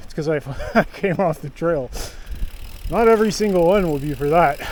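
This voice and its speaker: This man has a fairly high voice, ordinary pitch variation and a moderate pace. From Canada. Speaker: mountain bike vlogger. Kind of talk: ride vlog narration. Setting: outdoors, winter trail ride. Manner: casual, chatty.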